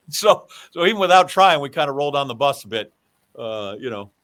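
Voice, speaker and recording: A man's fairly high voice with lively intonation. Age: 60s. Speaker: podcast guest. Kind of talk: casual chat. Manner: animated.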